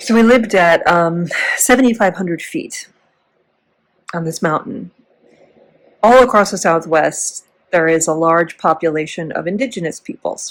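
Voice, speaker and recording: With an American accent, the speaker uses lively intonation at a moderate pace, broken by long, frequent pauses. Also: woman, medium pitch for a woman. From US Midwest, Chicago area. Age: 40s. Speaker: former teacher, vlogger. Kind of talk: casual vlog storytelling. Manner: rambling, tangential.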